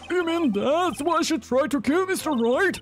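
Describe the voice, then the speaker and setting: A put-on character voice, high-pitched, at a moderate pace over clear background noise. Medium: virtual streamer. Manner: startled, exclaiming.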